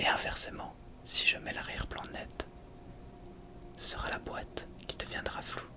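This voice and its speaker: Someone whispers in a calm tone while noticeable background noise sits behind the voice. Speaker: ASMR creator. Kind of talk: ASMR roleplay as a camera shop salesperson. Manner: soft-spoken, calm, helpful.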